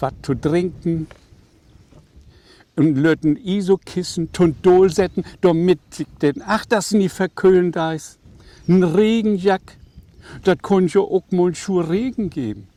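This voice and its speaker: A man with a northern German accent speaks very slowly, leaving long, frequent pauses. His dark, mellow tone shows ordinary pitch variation in a dry, close sound with no echo. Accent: Low German (Plattdeutsch) northern German. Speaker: author. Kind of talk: reading aloud.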